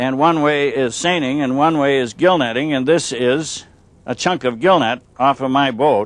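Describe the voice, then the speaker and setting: A man speaks in a normal speaking voice, fairly high in pitch, with ordinary pitch variation. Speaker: storyteller and fisherman. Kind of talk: storytelling talk to visitors.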